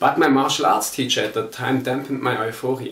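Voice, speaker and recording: Medium-pitched, a man speaks with a German accent. Audible room echo and noticeable background noise accompany him. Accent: German accent, non-native English. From Germany. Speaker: martial arts instructor. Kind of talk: personal testimony.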